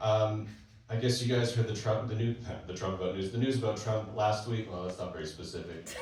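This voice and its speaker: A man with a Canadian accent speaks at a fairly quick pace and a fairly low pitch, his intonation fairly even. Noticeable background noise and audible room echo surround him. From Canada, British Columbia. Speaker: stand-up comedian. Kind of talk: stand-up. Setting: stage with audience.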